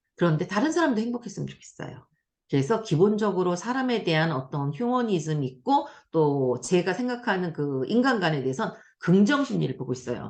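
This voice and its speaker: Against a quiet background, the words come at a fairly quick pace. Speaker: lecturer and career counselor. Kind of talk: online lecture. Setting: video call. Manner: fast.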